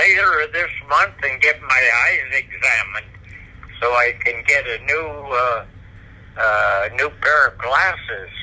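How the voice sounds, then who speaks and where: Noticeable background noise runs through the clip. The man talks at a very slow pace. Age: 90s. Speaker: Marine Corps veteran, patient. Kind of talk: interview. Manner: halting.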